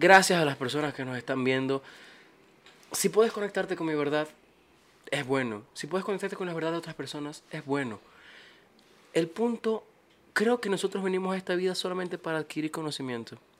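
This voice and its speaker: A high-pitched man's voice at a fairly quick pace, lively in intonation, broken by long, frequent pauses. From Bolivia. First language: Spanish (speaking Portuguese). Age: 20s. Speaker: musician. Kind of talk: casual chat.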